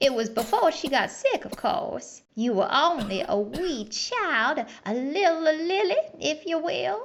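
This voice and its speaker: Putting on a character voice, a woman speaks at a fairly slow pace with a high pitch and very wide pitch swings. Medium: audio drama. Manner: halting, rambling.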